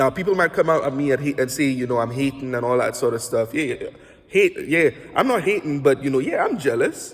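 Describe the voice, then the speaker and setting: A somewhat breathy man with a fairly high pitch. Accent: Saint Lucian. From Saint Lucia. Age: 30s. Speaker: basketball analyst and podcast host. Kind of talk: casual self-recorded commentary. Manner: halting, many self-corrections.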